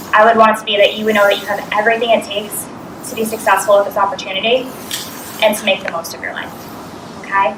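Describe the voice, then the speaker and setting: A woman with an American accent talks at a very fast pace and a fairly high pitch, with noticeable background noise and audible room echo. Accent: Boston, thick when nervous. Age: 30s. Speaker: business coach. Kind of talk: motivational talk. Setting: stage with audience. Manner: animated.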